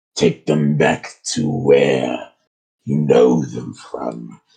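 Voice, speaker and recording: A man's put-on character voice, very deep and low, guttural, growling and strained, at a very slow pace. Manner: mystical, solemn.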